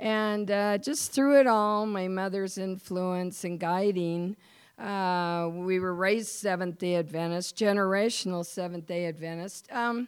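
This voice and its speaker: A woman speaks at a fairly slow pace with ordinary pitch variation, in an ordinary speaking voice. The recording is very clean and the background silent. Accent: American. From US Mountain West (Wyoming). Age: 60s. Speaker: pastor's wife giving a church talk. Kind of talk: devotional talk / testimony with reading aloud. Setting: church service, recorded.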